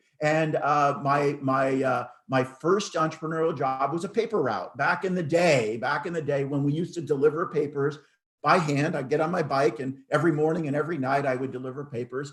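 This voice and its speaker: A man's fairly high, somewhat breathy voice with an American accent, at a fairly quick pace with ordinary pitch variation. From United States. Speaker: entrepreneur and business speaker. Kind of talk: online presentation to students. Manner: hesitant, many fillers.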